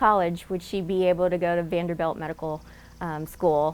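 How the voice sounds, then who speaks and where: Speaking at a fairly quick pace with a slight Southern US accent, a woman uses a fairly low pitch and fairly even intonation. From Laos, raised in Nashville, Tennessee. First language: Lao. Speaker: alumna award recipient, doctor. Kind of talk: interview testimony.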